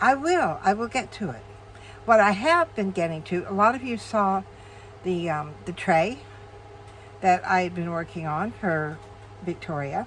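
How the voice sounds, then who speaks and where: A woman at medium pitch, with lively intonation, a fairly slow pace and long, frequent pauses. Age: 60s. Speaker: crafting video creator. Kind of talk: casual tutorial. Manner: chatty, with frequent fillers.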